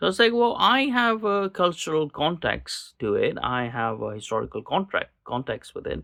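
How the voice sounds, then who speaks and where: A man with a Pakistani accent on a very clean recording with a silent background. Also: moderate pace. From Pakistani expat community in Kuwait, Gulf. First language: Urdu. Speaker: political podcaster. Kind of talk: casual monologue. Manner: halting, many repetitions and fillers.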